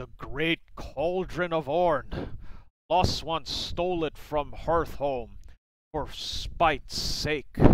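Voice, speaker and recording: This is a put-on character voice at middle pitch. It moves at a very slow pace. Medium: read story. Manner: rambling, folksy, cryptic.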